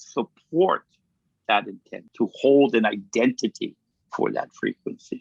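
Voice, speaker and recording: A man's voice with a Hawaiian accent and very wide pitch swings. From Kauai, Hawaii. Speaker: kahuna, healer and teacher. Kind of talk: interview answer.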